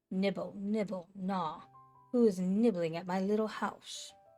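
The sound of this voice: Soft-spoken and at a fairly slow pace, a woman puts on a character voice at a medium pitch. Faint music plays in the background.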